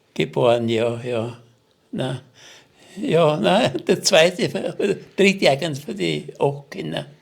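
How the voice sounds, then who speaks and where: Speaking very slowly with long, frequent pauses, a man uses a fairly high pitch with very wide pitch swings and vocal fry. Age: 80s+. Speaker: war veteran. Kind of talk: testimony. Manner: halting.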